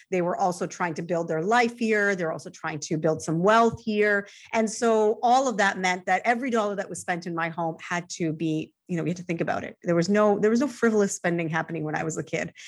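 A plain, everyday voice from a woman at medium pitch, with ordinary pitch variation, a fairly quick pace and a very clean recording over a silent background. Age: 40s. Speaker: personal finance journalist. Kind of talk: casual interview.

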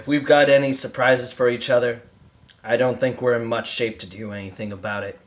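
A man puts on a raspy character voice at a medium pitch. He talks at a fairly quick pace with fairly even intonation. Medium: audio drama. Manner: terse, gruff.

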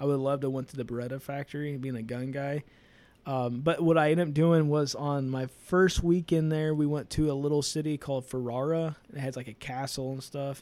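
A man with an American accent talks at a fairly quick pace, his fairly high voice carrying a dark, mellow tone and fairly even intonation. The recording is very clean, with a silent background. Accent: regional American accent noticed abroad. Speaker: motorsport podcast co-host. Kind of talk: casual chat.

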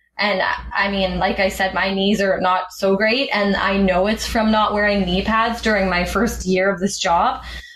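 Someone with a Canadian accent speaks at a moderate pace with fairly even intonation. Noticeable background noise and audible room echo are present. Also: woman. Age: 20s. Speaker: aircraft maintenance engineer. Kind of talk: interview.

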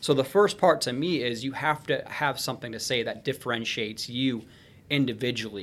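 In a very clean recording with a silent background, a man with an unremarkable speaking voice talks fairly quickly at medium pitch, using ordinary pitch variation. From Michigan, small town. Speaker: sales coach and human performance expert. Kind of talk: casual interview.

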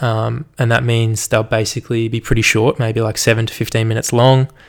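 A man with an Australian accent talks at a medium pitch and a fairly quick pace. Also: very clean recording, silent background. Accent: general Australian. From Australia, Melbourne. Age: 20s. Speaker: podcaster and university student. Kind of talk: solo podcast monologue, casual. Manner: nervous at first, casual, fillers.

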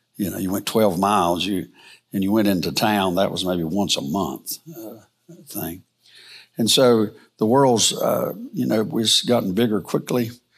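Speaking at a fairly slow pace, a man with an American accent has a fairly low pitch and ordinary pitch variation. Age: 60s. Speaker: Bible teacher. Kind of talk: lecture. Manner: halting.

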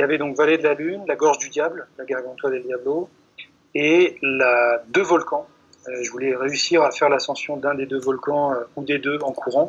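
Here a man talks at a moderate pace with a fairly high pitch. His intonation stays fairly even. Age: 30s. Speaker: long-distance runner and writer. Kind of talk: interview. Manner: halting.

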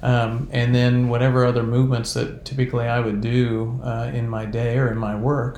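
Moderate-paced speech in a monotone, flat intonation, with audible room echo. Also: man. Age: 50s. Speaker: wellness coach. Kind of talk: casual chat.

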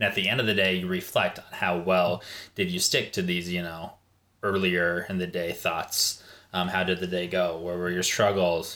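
Bright and sharp in tone, the voice carries a Midwestern American accent at a moderate pace with monotone, flat intonation. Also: man, very deep, low pitch for a man. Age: 30s. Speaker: fitness enthusiast and father. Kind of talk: casual chat.

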